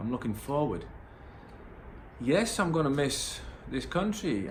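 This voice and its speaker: Noticeable background noise and audible room echo surround the recording. The man talks at a fairly slow pace. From northern England, Middlesbrough. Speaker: vlogger. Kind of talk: personal vlog monologue. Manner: hesitant, many fillers.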